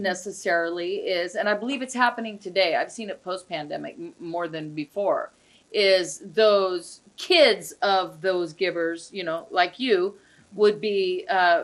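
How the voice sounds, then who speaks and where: Against a quiet background, a woman with an unremarkable speaking voice talks at a fairly slow pace, her medium pitch showing ordinary variation and her loudness swinging widely. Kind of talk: casual conversational discussion of fundraising events.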